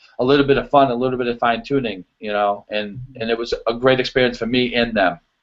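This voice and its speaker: This man speaks with a strong Boston accent. His pace is very fast and his pitch is medium. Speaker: show choir choreographer. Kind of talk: casual interview chat. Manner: animated, many fillers.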